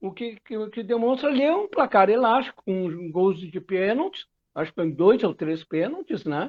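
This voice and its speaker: A man speaks at a moderate pace in a high voice with lively intonation. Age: 60s. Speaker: football pundit. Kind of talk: casual football debate. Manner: halting, repetitive fillers.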